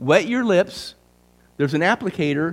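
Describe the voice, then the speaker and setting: A plain, everyday voice from a man, moderately paced and lively in intonation, captured in a very clean recording against a silent background. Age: 60s. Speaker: speaker presenting a talk at a church. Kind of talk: sales pitch. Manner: casual, conversational.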